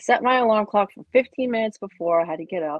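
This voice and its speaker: A woman with a plain, everyday voice, lively intonation and a fairly quick pace. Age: 40s. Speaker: podcast guest, fan of the films. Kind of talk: casual interview chat.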